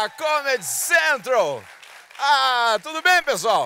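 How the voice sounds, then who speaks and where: A man is heard with a dry sound and no echo as crowd noise carries in the background. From Mato Grosso, Brazil. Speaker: stand-up comedian. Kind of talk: stand-up comedy routine. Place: stage. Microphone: handheld.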